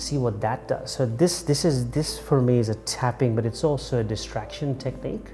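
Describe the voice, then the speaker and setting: Music can be heard behind the speaker. He is a man talking at a moderate speed. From Kenya (Mombasa). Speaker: documentary subject. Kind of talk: personal testimony. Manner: halting, with repetitions.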